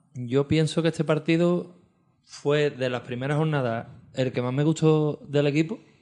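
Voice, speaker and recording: A man speaks at a moderate pace with a fairly high pitch and ordinary pitch variation. His tone is dark and mellow. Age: 40s. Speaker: podcast co-host, football fan. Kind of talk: casual chat.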